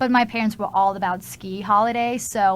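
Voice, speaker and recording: Vocal fry runs through a woman's speech, her intonation fairly even. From Austria. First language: German. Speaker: exchange student. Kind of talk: radio interview. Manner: casual, uses many fillers.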